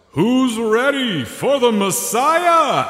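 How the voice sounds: A man puts on a character voice at an extremely high pitch. A clear echo is audible.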